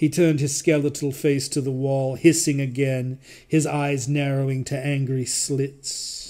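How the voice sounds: What we hear is a natural reading voice.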